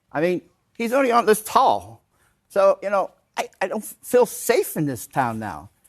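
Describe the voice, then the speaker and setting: With an American accent, a man talks at a moderate pace and high pitch, his voice making very wide pitch swings in a dry, close sound with no echo. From Ohio. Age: 60s. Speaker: resident. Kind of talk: public town hall comment.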